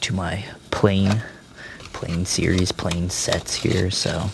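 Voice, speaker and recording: A man's very deep, low voice at a very slow pace, with fairly even intonation and noticeable background noise. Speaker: diecast toy collector and reviewer. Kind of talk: casual unboxing review. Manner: casual, with many fillers.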